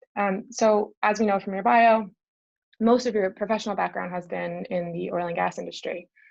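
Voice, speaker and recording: A woman with a Canadian accent, an ordinary speaking voice, medium pitch, moderate pace and fairly even intonation against a quiet background. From British Columbia, Canada. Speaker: event host. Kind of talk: interview conversation.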